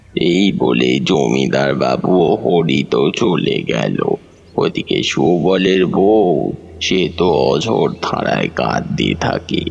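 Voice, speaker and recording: A man puts on a character voice, very deep and low in pitch. He talks at a very slow pace over light background noise. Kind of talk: horror narration. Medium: audio drama. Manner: dramatic, measured.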